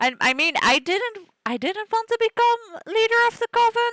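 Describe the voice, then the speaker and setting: Speaking at a moderate pace with a Dutch accent, a woman has a bright, sharp tone in a dry, close sound with no echo. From Netherlands. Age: 20s. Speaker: gaming streamer. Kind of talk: let's play commentary. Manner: casual, chatty.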